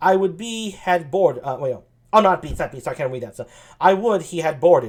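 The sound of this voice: Lively intonation in an unforced reading voice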